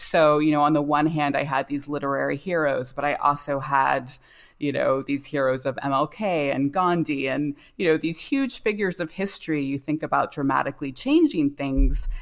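Her very deep, low pitch carries a woman's speech at a moderate pace with fairly even intonation and hardly any pauses. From US South, North Carolina. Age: 40s. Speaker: novelist. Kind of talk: interview. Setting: remote call.

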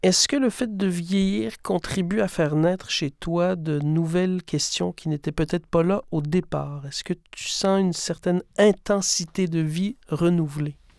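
A man talks with hardly any pauses, his pitch high with ordinary variation. The recording is very clean with a silent background. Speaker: podcast host, theatre director. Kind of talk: scripted introduction; interview conversation. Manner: formal.

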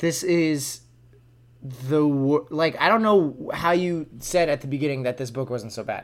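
Speaking fairly slowly in a normal speaking voice, a man with a fairly high pitch shows ordinary pitch variation. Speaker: podcast co-host. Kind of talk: casual chat. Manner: playful, jokey.

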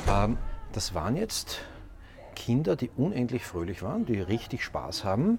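This is a male speaker. There is some breathiness in how he sounds. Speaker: podcast host. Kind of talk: on-location reportage.

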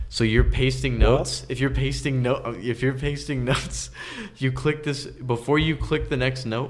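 Moderate-paced speech from a man with an American accent, plus audible room echo. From San Jose area, California (Milpitas). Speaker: music producer and DJ. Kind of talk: casual interview chat.

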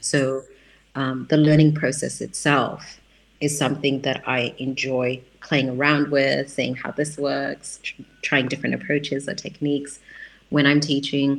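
Vocal fry runs through a flat, monotone delivery at a fairly slow pace. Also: woman, very deep, low pitch for a woman. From Australia. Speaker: writer and educator, community center founder. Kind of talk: interview. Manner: hesitant, many fillers.

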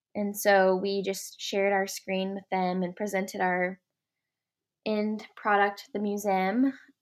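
A woman with an American accent speaks in a medium pitch at a fairly slow pace. Her intonation is monotone and flat, on a very clean recording with a silent background. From Oklahoma, Ardmore. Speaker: interior design student. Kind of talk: interview.

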